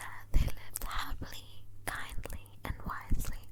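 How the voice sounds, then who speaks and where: Whispered speech moves at a fairly slow pace against noticeable background noise. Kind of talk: bedtime story reading. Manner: slow, soothing.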